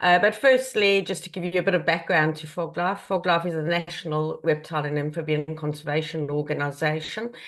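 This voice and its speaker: Fairly quick speech in a South African accent, with ordinary pitch variation. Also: woman. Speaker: conservation charity chief executive. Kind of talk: online presentation. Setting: video call.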